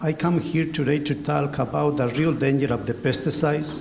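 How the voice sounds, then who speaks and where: A man with a Spanish accent and a fairly high voice, at a moderate pace, amid audible room echo. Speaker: former highway pesticide sprayer. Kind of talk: testimony. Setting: community hall with audience. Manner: reading from notes.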